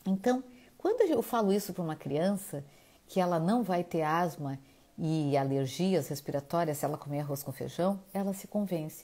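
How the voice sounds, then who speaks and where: In a very clean recording with a silent background, a woman's fairly low voice carries a dark, mellow tone and lively intonation at a moderate pace. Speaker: nutritionist. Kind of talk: live talk.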